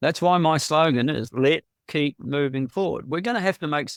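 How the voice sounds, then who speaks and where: Recorded very cleanly with a dry, close sound, no echo and a silent background, a man with a New Zealand accent speaks at a moderate pace and fairly high pitch, with ordinary pitch variation. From New Zealand, Tauranga. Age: 70s. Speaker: local election candidate. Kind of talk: interview. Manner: halting.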